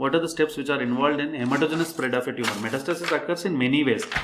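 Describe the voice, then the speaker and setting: A fairly high-pitched man at a very fast pace with ordinary pitch variation. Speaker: doctor and exam coaching tutor. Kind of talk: tutorial. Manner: halting.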